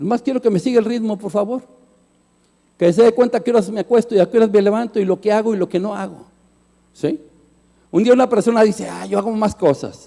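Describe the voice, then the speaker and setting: Speaking at a very fast pace broken by long, frequent pauses, a man uses a high pitch, a dark, mellow tone and ordinary pitch variation. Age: 60s. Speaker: pastor. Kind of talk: sermon.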